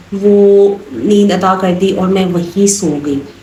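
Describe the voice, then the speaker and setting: Audible room echo plus noticeable background noise. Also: woman. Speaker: vlogger. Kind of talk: casual vlog talk.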